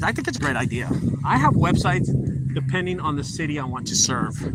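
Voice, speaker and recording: Noticeable background noise and audible room echo around a man at medium pitch, with a fairly quick pace and ordinary pitch variation. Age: 40s. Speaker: junk removal business owner. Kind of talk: casual vlog talk, business tips. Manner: casual, repetitive.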